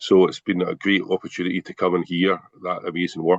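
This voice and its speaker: The man's voice, in a Scottish accent, has a dry, close sound with no echo. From Scotland. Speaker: lecturer. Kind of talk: Q&A question at online forum. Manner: halting.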